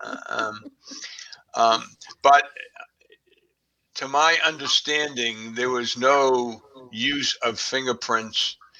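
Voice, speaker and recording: A man with a Boston accent, medium in pitch, at a very slow pace with long, frequent pauses and fairly even intonation. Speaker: crime researcher, guest expert. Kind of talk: podcast interview. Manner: halting, many fillers.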